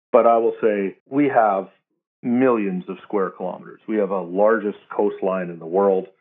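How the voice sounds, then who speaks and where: In a Canadian accent, a man with a fairly low pitch talks at a moderate pace with fairly even intonation in a plain, everyday voice. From Canada. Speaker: military veteran and advocate. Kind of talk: interview.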